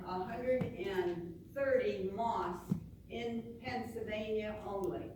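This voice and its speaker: A woman of medium pitch speaks very slowly with lively intonation. Noticeable background noise and audible room echo surround her. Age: 80s+. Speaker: audience member at town hall. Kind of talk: public comment at town hall. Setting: town hall meeting. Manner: halting.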